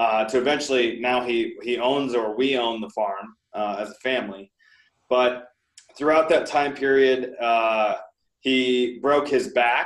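An unremarkable speaking voice talks at a fairly slow pace. The intonation stays fairly even. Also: man. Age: 30s. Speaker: real estate investor. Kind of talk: interview.

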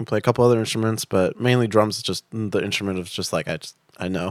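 At a very fast pace, a man speaks with ordinary pitch variation in a dry, close sound with no echo. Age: 20s. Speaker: drummer in a band. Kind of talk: casual interview.

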